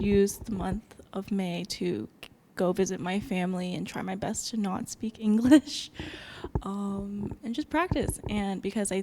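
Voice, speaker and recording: The speaker has a plain, everyday voice with an American accent. The pace is fairly slow, with ordinary pitch variation. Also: woman. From United States. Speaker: ballet company employee. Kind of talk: interview.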